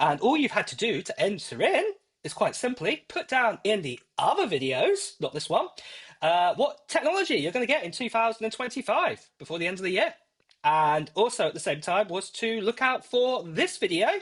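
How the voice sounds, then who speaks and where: Speaking at a moderate pace in an American accent, a man uses a high pitch with very wide pitch swings. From UK. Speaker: tech YouTuber. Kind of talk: live stream giveaway chat. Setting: live stream. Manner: rambling with many fillers. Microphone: AirPods Pro used as mic.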